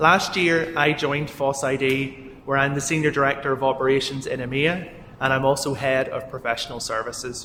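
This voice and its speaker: A man with a Northern Irish accent, fairly high-pitched and monotone, speaking fairly quickly with hardly any pauses over noticeable background noise. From Northern Ireland. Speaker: software company executive. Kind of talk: keynote talk.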